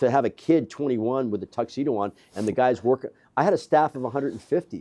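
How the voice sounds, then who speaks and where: A man talks at a very fast pace with a medium pitch, ordinary pitch variation and a dark, mellow tone, captured in a dry, close sound with no echo. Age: 60s. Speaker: gym owner and entrepreneur. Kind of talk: interview. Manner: animated.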